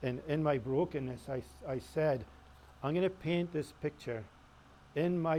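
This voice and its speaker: Somewhat breathy and with a dark, mellow tone, a man talks at a moderate pace. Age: 60s. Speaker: painter. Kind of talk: informal talk with audience questions. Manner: halting.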